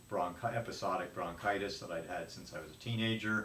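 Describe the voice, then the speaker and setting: The room echo is audible as a man speaks in a fairly low pitch. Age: 70s. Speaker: patient. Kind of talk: testimony. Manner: halting.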